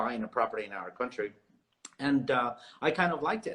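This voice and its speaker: With a Spanish accent, a man speaks at medium pitch using ordinary pitch variation. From South America. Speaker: realtor. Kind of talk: interview.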